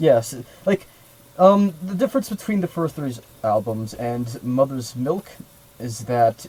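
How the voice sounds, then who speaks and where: With noticeable background noise behind him, a man talks at a fairly slow pace, his pitch swinging very widely and his speech broken by long, frequent pauses. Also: medium pitch for a man. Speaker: music podcast co-host. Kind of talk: casual chat.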